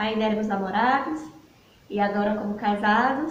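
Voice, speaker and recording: The voice moves at a moderate pace with fairly even intonation. Noticeable background noise and audible room echo surround it. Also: woman. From Bahia, Brazil. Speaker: missionary. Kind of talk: talk to church congregation.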